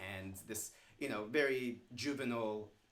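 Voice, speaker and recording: An American accent comes through with audible room echo. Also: man. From US East Coast, Virginia (Stafford). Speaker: screenwriter. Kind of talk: interview conversation. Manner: loud.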